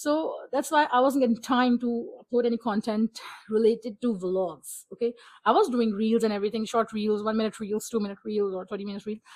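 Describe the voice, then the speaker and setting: Speaking at a fairly quick pace, a woman with a Pakistani accent uses a fairly high pitch and ordinary pitch variation. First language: Urdu. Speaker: book vlogger. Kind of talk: casual vlog talk. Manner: animated.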